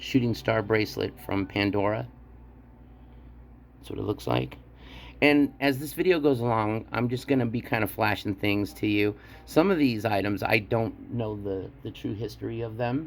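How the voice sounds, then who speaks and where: Music plays in the background. The intonation is lively, at a moderate pace. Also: man, fairly low pitch for a man. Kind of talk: product show-and-tell tutorial. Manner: halting.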